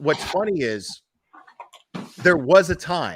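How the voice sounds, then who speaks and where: Very slowly, a man speaks in a bright, sharp tone. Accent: American. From Miami, Florida. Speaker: livestream host. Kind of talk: casual chat.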